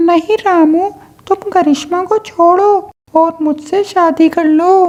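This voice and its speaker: Using a cartoonish character voice at an extremely high pitch, a woman speaks at a fairly slow pace. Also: fairly even intonation. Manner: teasing, snappy.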